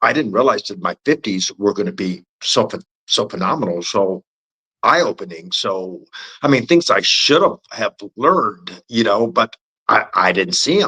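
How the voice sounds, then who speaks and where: The tone is bright and sharp, with vocal fry and very wide pitch swings at a moderate pace. The sound is dry and close, with no echo. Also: man, fairly high pitch for a man. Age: 60s. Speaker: podcast guest. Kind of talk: casual chat. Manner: halting.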